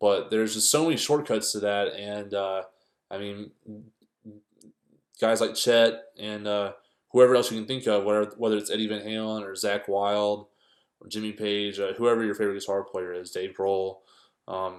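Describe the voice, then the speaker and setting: The pace is moderate, with long, frequent pauses. Intonation stays fairly even while loudness swings widely. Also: man, fairly low pitch for a man. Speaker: guitar teacher. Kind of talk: tutorial. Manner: halting, many fillers; casual.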